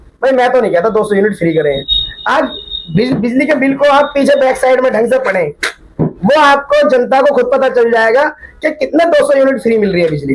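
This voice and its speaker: At a moderate pace, a man with an extremely high pitch speaks with ordinary pitch variation. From Delhi, India. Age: 30s. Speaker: local youth politician. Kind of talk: street interview.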